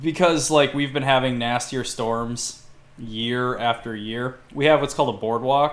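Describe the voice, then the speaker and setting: In a Minnesota accent, a man at medium pitch speaks at a fairly slow pace with ordinary pitch variation. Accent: Minnesota accent, sounds Canadian. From Minnesota, Duluth. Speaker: podcast host. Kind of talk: casual chat. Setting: live stream. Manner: hesitant, many fillers.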